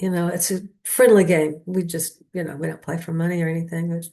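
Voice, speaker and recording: A somewhat breathy woman's voice, fairly low in pitch. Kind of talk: casual talk to camera. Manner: rambling, hesitant.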